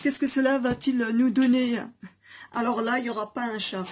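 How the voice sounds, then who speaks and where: A loud woman speaks over noticeable background noise. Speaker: hair and beauty YouTuber, teacher. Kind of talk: casual DIY tutorial chat.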